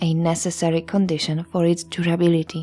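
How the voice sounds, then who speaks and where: Over music in the background, the speaker is soft-spoken and talks at a moderate pace. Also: woman. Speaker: history podcast narrator. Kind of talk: sleep story history narration. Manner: soft, calm ASMR narration.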